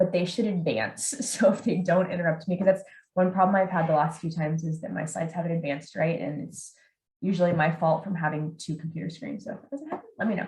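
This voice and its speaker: A woman speaks at a fairly quick pace in a medium pitch, her somewhat breathy voice showing ordinary pitch variation. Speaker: psychologist presenter. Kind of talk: webinar presentation. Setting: video call.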